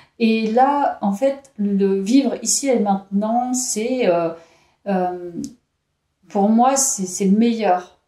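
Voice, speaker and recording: Fairly high female speech, its pitch varying in an ordinary way. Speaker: tarot card reader. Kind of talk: tarot reading video. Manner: hesitant, with fillers.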